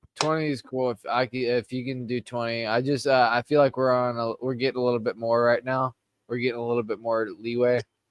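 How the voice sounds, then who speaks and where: Talking at a fairly quick pace with hardly any pauses, a man with a Southern accent keeps a monotone, flat intonation in a dry, close sound with no echo. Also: medium pitch for a man. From US South (Georgia). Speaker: podcast co-host. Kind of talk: casual chat.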